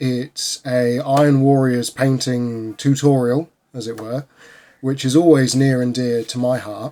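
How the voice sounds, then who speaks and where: In a British accent, a man with a dark, mellow tone speaks very slowly in a monotone, flat manner. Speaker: miniature painting youtuber. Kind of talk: video commentary review.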